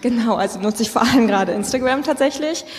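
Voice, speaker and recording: A woman talks very fast at a fairly high pitch. Audible room echo and noticeable background noise come through. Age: 20s. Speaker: young state politician. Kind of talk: live panel discussion. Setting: stage with audience.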